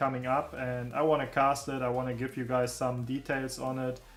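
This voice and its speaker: A man's fairly high voice moves at a moderate pace. Behind him, music plays. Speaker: gaming streamer. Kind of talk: casual live stream chat. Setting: live stream. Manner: loud.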